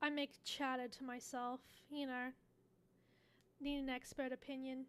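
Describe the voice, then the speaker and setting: Speaking in a flat monotone at a moderate pace, a woman has a high-pitched voice. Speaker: streamer. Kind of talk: casual chat. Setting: live stream. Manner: mumbling.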